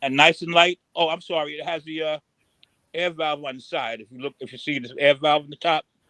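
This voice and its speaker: A man with a fairly high pitch and a bright, sharp tone speaks at a fairly quick pace with fairly even intonation, recorded with a dry, close sound and no echo. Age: 70s. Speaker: watch collector. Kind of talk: casual livestream chat.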